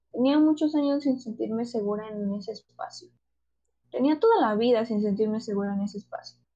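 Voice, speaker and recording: A woman with a Mexican accent talks at a fairly quick pace in a somewhat breathy voice. Her pitch is fairly high, with ordinary pitch variation. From Mexico. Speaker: podcast co-host. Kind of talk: casual chat.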